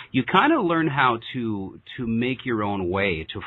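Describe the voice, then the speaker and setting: In an ordinary speaking voice, a man of medium pitch speaks with lively intonation. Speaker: podcast host. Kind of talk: casual interview. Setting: remote call.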